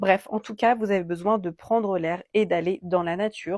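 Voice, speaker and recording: A woman talks at a moderate pace in an ordinary speaking voice, with ordinary pitch variation. The sound is dry and close with no echo, on a very clean recording with a silent background. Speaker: card reader and energy healer. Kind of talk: oracle card reading guidance.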